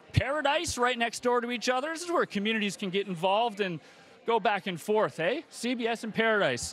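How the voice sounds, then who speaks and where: Speaking at a fairly quick pace, a man uses lively intonation in a high voice. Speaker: telethon host. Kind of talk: live telethon hosting. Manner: animated.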